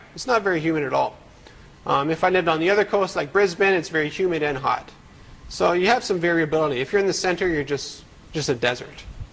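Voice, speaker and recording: Here a man is speaking in a high pitch. His pace is very fast. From French-speaking Canada. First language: French. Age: 30s. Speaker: CNC design expert. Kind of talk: interview.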